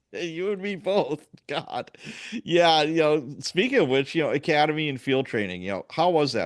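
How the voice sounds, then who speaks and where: A man with an American accent speaks in a normal speaking voice at a moderate pace, his fairly high pitch moving with lively intonation. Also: quiet background. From US Midwest, Chicago. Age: 60s. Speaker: podcast host, police sergeant. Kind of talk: podcast interview.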